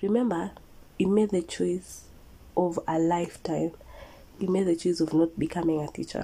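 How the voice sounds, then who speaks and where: In a dark, mellow tone, a woman speaks at a moderate pace with fairly even intonation and long, frequent pauses. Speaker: motivational podcaster. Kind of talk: motivational monologue.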